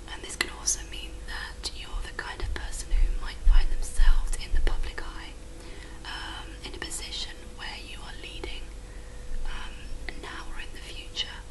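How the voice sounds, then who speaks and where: Soft-spoken with a British accent, the voice keeps a moderate pace against noticeable background noise. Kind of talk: ASMR palm reading roleplay. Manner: soft-spoken, reassuring.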